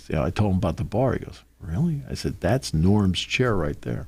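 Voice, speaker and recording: A man's very deep, low voice with vocal fry, very wide pitch swings and a fairly quick pace. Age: 60s. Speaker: sports radio host and play-by-play broadcaster. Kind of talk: casual chat. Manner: animated.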